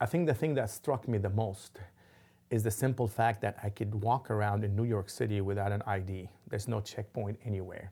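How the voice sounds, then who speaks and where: A man with a dark, mellow tone speaks fairly quickly at a fairly low pitch, somewhat breathy. His intonation is fairly even, and the recording is very clean with a silent background. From Lebanon. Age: 50s. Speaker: imam. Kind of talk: interview. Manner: halting, many fillers.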